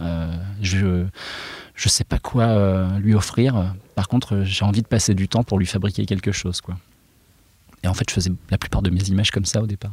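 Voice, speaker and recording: On a very clean recording with a silent background, a somewhat breathy man speaks at a moderate pace in a fairly low pitch with fairly even intonation and long, frequent pauses. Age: 40s. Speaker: illustrator and comic book author. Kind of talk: interview. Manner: hesitant, many fillers.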